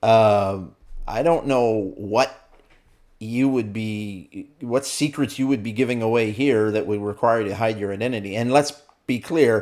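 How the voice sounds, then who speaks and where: A man with a Canadian accent talks at a fairly slow pace and medium pitch in a normal speaking voice with ordinary pitch variation. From Canada. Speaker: army veteran reacting to videos. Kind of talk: casual video commentary. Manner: casual, frequent fillers.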